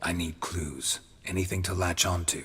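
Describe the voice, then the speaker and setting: A man puts on a raspy character voice, very deep and low. He delivers it in a deadpan tone at a moderate pace. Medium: video game. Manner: terse, dry, deadpan.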